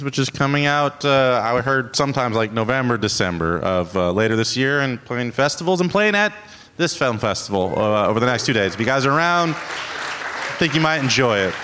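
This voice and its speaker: A normal speaking voice moves at a fairly quick pace with lively intonation, very even loudness and hardly any pauses. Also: man, medium pitch for a man. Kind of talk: live podcast banter, quiz game. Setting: stage with audience at theater.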